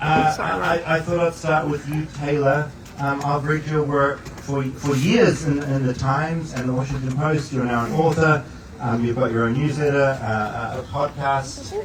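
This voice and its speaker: Through audible room echo and noticeable background noise, a man speaks with a fairly high pitch and ordinary pitch variation. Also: moderate pace. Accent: New Zealand. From New Zealand. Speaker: event moderator. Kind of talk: panel moderation. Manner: mild, quiet.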